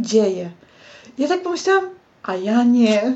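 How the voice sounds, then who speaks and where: A woman speaks at a moderate pace. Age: 30s. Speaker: graphic designer. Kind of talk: casual chat.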